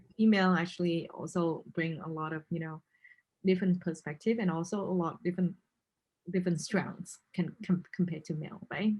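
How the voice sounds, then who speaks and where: A woman speaks with a somewhat breathy, fairly low voice in a monotone, flat intonation. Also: fairly quick pace. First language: not English. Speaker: interviewer. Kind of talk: interview.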